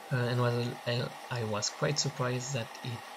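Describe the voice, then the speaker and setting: A man with a French accent at a medium pitch, speaking at a fairly slow pace over noticeable background noise. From France. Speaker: knifemaker. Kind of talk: tutorial voiceover.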